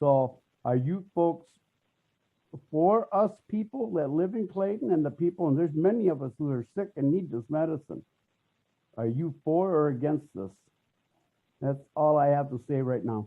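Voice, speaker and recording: Fairly high male voice at a moderate pace, lively in intonation, broken by long, frequent pauses. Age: 60s. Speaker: public commenter at city council meeting. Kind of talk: public comment. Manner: halting.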